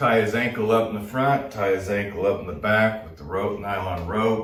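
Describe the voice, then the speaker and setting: A somewhat breathy voice at a moderate pace, fairly even in intonation, with audible room echo. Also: man. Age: 60s. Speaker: boxing trainer. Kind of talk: tutorial. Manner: casual, conversational.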